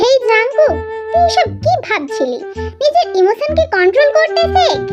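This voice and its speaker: A woman speaks at a moderate pace in a squeaky, put-on character voice. Loud music plays in the background. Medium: read story.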